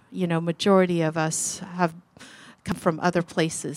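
A woman speaks with an American accent at fairly low pitch. Her intonation is monotone and flat. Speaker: guest speaker, refugee sharing her faith story. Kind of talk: personal testimony to a youth group.

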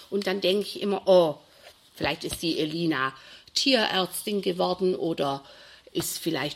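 A woman speaks with a plain, everyday voice. Her pitch is medium and her pace moderate. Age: 60s. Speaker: primary school teacher. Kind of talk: interview.

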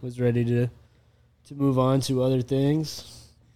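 A man is speaking. His pitch is medium. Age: 30s. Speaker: entrepreneur running a merch company. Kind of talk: casual chat.

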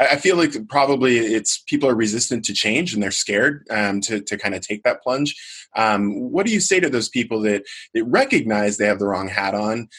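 A man speaks at a medium pitch and moderate pace, with ordinary pitch variation. He has an ordinary speaking voice. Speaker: podcast host. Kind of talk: interview.

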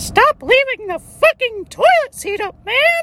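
In a put-on character voice, the speech comes squeaky and extremely high-pitched at a fairly slow pace. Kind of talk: casual, complaining.

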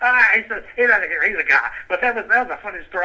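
Speaking very fast with an American accent, the voice comes through noticeable background noise. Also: man. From US South, southern West Virginia coal fields. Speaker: museum founding board member, retiree. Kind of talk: interview, casual chat. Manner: halting, frequent fillers.

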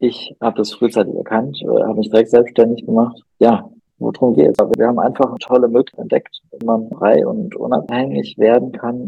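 A man speaks at a fairly quick pace with hardly any pauses. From Ruhr area, Germany (Recklinghausen). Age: 30s. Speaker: podcast host, self-employed father. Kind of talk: casual chat.

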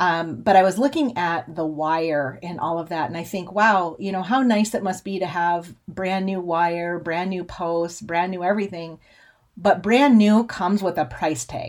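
A woman with an American accent talks at a moderate pace in an unremarkable speaking voice, her pitch fairly low with ordinary pitch variation. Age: 40s. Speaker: podcast host and cattle rancher. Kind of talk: casual monologue.

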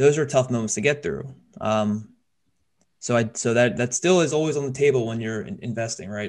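Lively intonation from a man with an ordinary speaking voice. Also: medium pitch for a man, fairly quick pace. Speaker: podcast host, financial advisor. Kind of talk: casual chat, financial talk.

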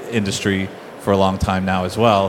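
Noticeable background noise sits behind a man with a fairly low pitch. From Bermuda. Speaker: fintech company CEO. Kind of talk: conference panel discussion. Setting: conference stage with audience.

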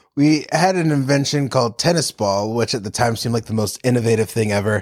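A man's unremarkable speaking voice with an American accent, moderate pace and ordinary pitch variation, in a dry, close sound with no echo. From North Carolina. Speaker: improv comedian and actor. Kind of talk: casual chat.

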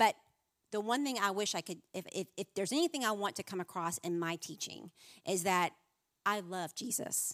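A woman's normal speaking voice at medium pitch, moderate pace and ordinary pitch variation, on a very clean recording with a silent background and a dry, close sound without echo. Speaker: women's minister. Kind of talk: sermon. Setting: stage with audience.

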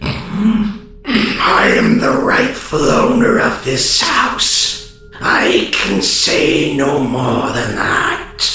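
Through a strong echo and clear background music, a man puts on a character voice at a fairly high pitch, moving at a very slow pace with very wide pitch swings. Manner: haughty, guarded.

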